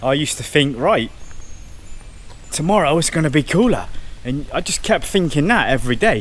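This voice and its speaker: Audible room echo surrounds a man who speaks at a moderate pace with lively intonation. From southwest England, Cornwall. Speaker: travel vlogger. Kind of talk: casual vlog talk to camera. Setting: outdoors, walking around a temple. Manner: casual, conversational with repetitions.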